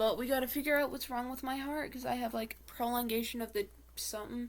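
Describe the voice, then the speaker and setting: Woman's high voice at a fairly quick pace, monotone and flat. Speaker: makeup vlogger. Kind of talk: casual chat. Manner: rambling filler-heavy.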